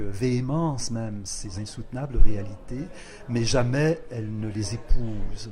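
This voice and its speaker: Speaking at a very slow pace, a man with a medium-pitched voice and ordinary pitch variation is heard with audible room echo. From Quebec, Lower St. Lawrence (Rivière-du-Loup). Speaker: poet and literature professor. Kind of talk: interview. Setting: poetry festival. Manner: measured, hesitant with frequent euh.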